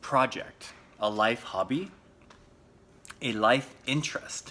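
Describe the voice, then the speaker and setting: A man with an American accent talks at a very slow pace and a medium pitch, with ordinary pitch variation. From US Pacific Northwest, Seattle. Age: 30s. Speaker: English teacher / language podcaster. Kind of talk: personal story for English learners. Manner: slow, clear with many fillers.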